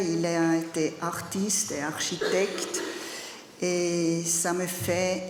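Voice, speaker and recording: A woman with a German accent speaks at a medium pitch, with audible room echo and noticeable background noise. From Zurich, Switzerland. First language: German (speaking French). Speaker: artist and architecture teacher. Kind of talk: conference talk. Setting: study day lecture with audience. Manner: halting, with hesitations.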